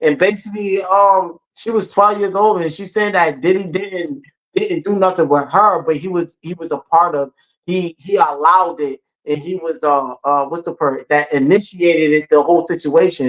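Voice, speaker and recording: Speaking in a high pitch, a man shows ordinary pitch variation. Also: moderate pace. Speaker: podcast co-host. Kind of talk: casual chat. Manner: halting.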